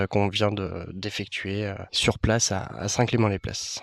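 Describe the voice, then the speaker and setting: The man talks at a moderate pace. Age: 30s. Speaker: actor and dancer. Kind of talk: interview. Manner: hesitant, many fillers.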